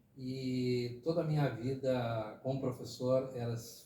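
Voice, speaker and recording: Noticeable background noise and audible room echo accompany a man speaking at medium pitch. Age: 60s. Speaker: retired teacher and former city councillor. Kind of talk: podcast interview. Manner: conversational with fillers, hesitant.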